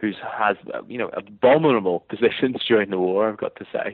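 A man talks with a Northern Irish accent. His pace is moderate. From Northern Ireland. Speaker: history professor and author. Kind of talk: interview about a book. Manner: measured, hesitant with fillers.

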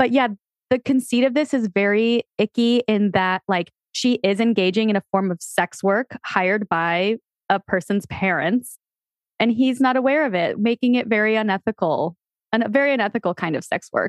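An unremarkable speaking voice at a moderate pace, with ordinary pitch variation and a dry, close sound with no echo. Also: woman, fairly high pitch for a woman. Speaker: podcast co-host. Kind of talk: casual chat.

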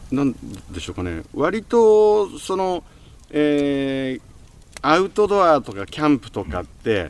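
Taking long, frequent pauses, a man with a fairly high pitch speaks at a very slow pace, with very wide pitch swings and big swings in loudness. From Japan, Gunma (Kusatsu). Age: 50s. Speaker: radio podcast host. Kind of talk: interview.

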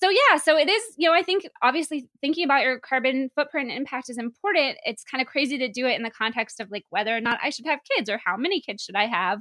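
A woman speaks very fast in a raised, projected voice that is high and bright with a sharp tone, with lively intonation, hardly any pauses and a dry, close sound with no echo. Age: 30s. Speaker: podcast co-host. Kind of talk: casual chat.

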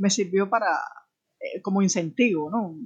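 Talking at a moderate pace, a woman uses a medium pitch with ordinary pitch variation. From Cuba, Havana (Alamar). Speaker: writer and photographer. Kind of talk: interview conversation. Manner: halting, many repetitions and fillers.

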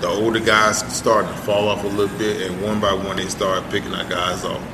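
Noticeable background noise and audible room echo fill the recording. A man with a fairly low pitch talks at a moderate pace. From South Florida (Fort Myers, Miami). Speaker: former pro football player. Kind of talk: casual interview chat.

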